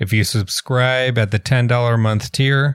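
On a very clean recording with a silent background, a man speaks at a fairly slow pace, the sound dry and close with no echo. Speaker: podcast co-host. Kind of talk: casual interview chat. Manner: halting, many fillers.

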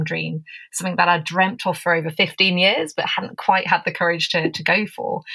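With an English accent, a woman speaks in a bright, sharp tone using fairly even intonation. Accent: English accent, mistaken for South American. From England. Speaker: negotiation expert. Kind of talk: interview, conversational. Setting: remote call.

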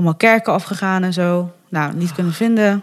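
A woman's voice sits fairly low, her intonation fairly even as she talks at a moderate pace. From Netherlands, Bergen op Zoom (North Brabant). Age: 30s. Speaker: adoptee sharing her story. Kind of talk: interview conversation. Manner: hesitant, many fillers.

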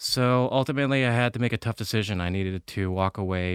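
Fairly quick and fairly even in intonation, a man's voice comes through. The recording is very clean, with a silent background and a dry, close sound with no echo. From New Hampshire seacoast (born in Korea, moved to US at five). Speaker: chef and restaurant owner. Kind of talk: casual interview.

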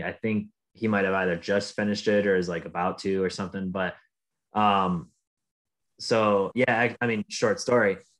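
A man with an Upper Midwest accent speaks at a moderate pace. His pitch is fairly low with ordinary pitch variation, and the background is quiet. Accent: Upper Midwest American. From Michigan. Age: 20s. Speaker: professional golfer. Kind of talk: casual interview.

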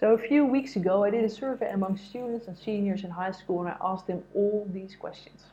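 A somewhat breathy woman's voice, medium in pitch and dark and mellow in tone, at a fairly quick pace with hardly any pauses, ordinary pitch variation and big swings in loudness. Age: 40s. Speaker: life coach and sports marketer. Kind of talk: motivational monologue.

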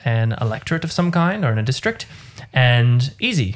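With lively intonation, a man in an Australian accent talks at a moderate pace. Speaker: podcast co-host. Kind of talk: casual chat.

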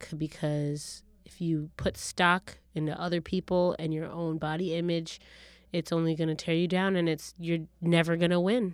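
On a very clean recording with a silent background, a woman speaks at a fairly low pitch. Her delivery is monotone and flat at a moderate pace. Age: 30s. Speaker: podcast co-host. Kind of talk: casual chat.

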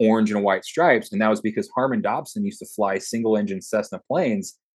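A man with an American accent in a plain, everyday voice, fairly low in pitch, fairly quick in pace, with ordinary pitch variation. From Texas. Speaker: corporate security manager and Marine veteran. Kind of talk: interview. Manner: casual.

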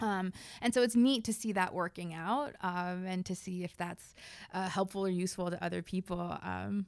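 A woman in a normal speaking voice, medium pitch and fairly even intonation at a moderate pace, on a very clean recording with a silent background. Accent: American. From United States. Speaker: sociology professor. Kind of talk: casual interview. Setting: her office.

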